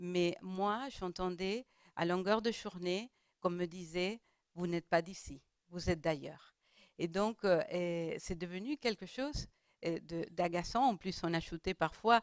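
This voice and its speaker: Speaking at a very slow pace, a woman with a non-native accent has a medium pitch and ordinary pitch variation. Her loudness swings widely, and the sound is dry and close with no echo. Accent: foreign accent in French. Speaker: round table panelist. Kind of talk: panel discussion. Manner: halting, many hesitations.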